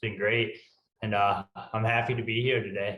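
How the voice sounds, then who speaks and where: In a strong Northeastern US accent, a man speaks at medium pitch. His pace is moderate. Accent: thick Northeastern US. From US Northeast. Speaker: ultrarunner. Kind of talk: interview.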